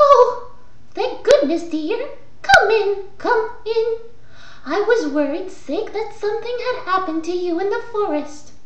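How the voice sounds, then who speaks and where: A woman puts on a squeaky character voice at an extremely high pitch, speaking at a fairly slow pace with a slight echo. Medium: read story.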